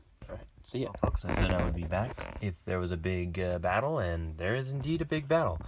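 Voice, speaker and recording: Very rapid, quiet speech with huge pitch swings and noticeable background noise. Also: man, very deep, low pitch for a man. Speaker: board game channel host. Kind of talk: gameplay commentary. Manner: lowered voice, quiet.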